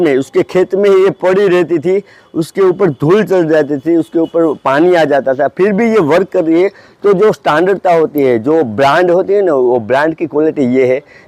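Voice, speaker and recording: Barely pausing, a man talks at a high pitch with a dark, mellow tone, very even loudness and ordinary pitch variation, in a dry, close sound with no echo. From Gujarat, India (Junagadh). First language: Gujarati (speaking Hindi). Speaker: photographer and gadget reviewer. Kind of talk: casual product review. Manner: halting, many fillers.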